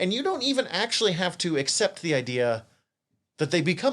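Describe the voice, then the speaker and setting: The very clean recording, with a silent background, captures a man with a Montana accent. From Montana, US. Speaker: podcast co-host. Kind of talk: casual chat.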